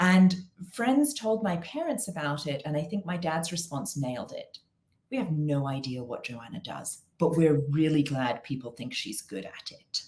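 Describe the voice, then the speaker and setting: With an English accent, a woman talks at a moderate pace in a very deep, low, somewhat breathy voice, with very wide pitch swings and big swings in loudness. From England. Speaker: consulting firm founder. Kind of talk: interview.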